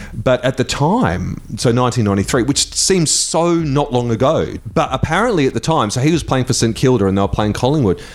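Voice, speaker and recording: With an Australian accent, a man talks at a moderate pace and medium pitch, his intonation lively and his loudness very even, hardly pausing at all, against noticeable background noise. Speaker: radio host. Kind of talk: live radio chat. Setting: studio.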